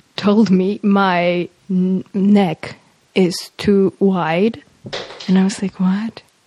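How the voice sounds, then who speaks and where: A woman with a Polish accent speaks at a medium pitch, with a dry, close sound and no echo. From Poland, Warsaw area. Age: 20s. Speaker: university student. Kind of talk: casual interview chat. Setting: home kitchen.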